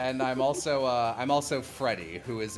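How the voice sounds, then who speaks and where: Background music plays throughout. A man speaks with ordinary pitch variation. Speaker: voice actor; podcast guest.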